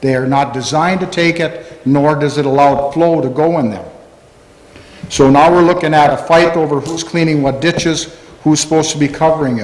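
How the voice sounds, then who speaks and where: With an American accent, a man speaks at fairly high pitch with fairly even intonation, amid noticeable background noise and audible room echo. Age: 60s. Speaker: farmer. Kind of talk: public comment at county board meeting. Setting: town hall meeting room. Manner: halting, with false starts.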